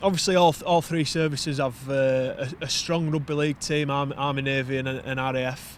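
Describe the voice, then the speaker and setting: In a Yorkshire accent, a man speaks with fairly even intonation. His pitch is fairly high. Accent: broad Yorkshire. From Wakefield, Yorkshire, northern England. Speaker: poet and navy serviceman. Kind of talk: casual interview chat.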